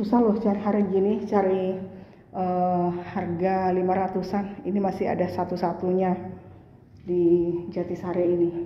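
Speaking at a fairly slow pace, a woman keeps a medium pitch, a monotone, flat intonation and very even loudness. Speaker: property marketer. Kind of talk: sales pitch, walking property tour. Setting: walking through a house on camera. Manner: salesy, exclaiming praise.

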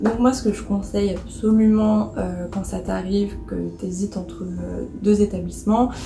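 A woman speaks at a moderate pace with audible room echo and clear music in the background. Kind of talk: casual vlog chat. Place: home room. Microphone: phone near.

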